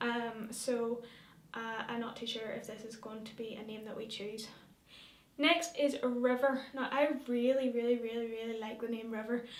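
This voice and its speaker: With a Northern Irish accent, a woman talks at a moderate pace in a fairly high pitch, her intonation fairly even, her loudness swinging widely, and room echo audible. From Northern Ireland, rural. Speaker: vlogger. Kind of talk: casual vlog talk. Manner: hesitant, many fillers.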